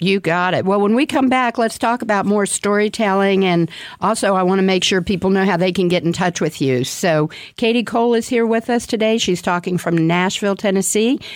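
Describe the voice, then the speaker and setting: A woman with an unremarkable speaking voice and medium pitch talks at a fairly quick pace with ordinary pitch variation and very even loudness. The recording is very clean, with a silent background. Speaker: radio host. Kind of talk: radio interview, conversational. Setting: radio studio.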